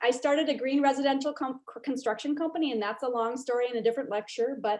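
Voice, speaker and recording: Words pour out of a woman at a very fast pace. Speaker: real estate developer. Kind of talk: lecture.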